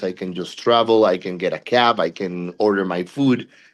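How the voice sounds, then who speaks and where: The background is quiet as a man speaks at a fairly low pitch. His intonation is fairly even. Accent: Puerto Rican. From Puerto Rico. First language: Spanish. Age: 40s. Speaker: body piercer. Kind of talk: interview.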